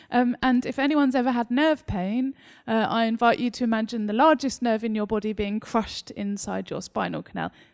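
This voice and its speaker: A woman speaks with a slight Essex accent at a fairly quick pace, fairly high in pitch. Her intonation is fairly even, and the recording is very clean, with a silent background. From England, Essex. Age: 30s. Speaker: novelist. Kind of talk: author interview on stage. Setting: live event with audience. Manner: gregarious, talkative, laughs often.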